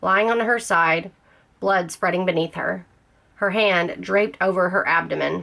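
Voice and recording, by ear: Someone reads aloud in a natural voice. The pitch shifts in an ordinary way.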